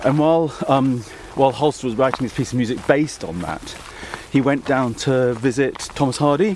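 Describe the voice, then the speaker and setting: Over noticeable background noise, a man speaks at a medium pitch and a fairly quick pace. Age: 50s. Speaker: classical music journalist. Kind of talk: casual chat. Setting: outdoors.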